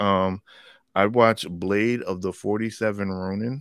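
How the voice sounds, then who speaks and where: A man speaks with fairly even intonation at a fairly low pitch, in a plain, everyday voice. The recording is very clean, with a silent background. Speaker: comic book fan podcast co-host. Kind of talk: casual banter about comics and movies. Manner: joking, playful.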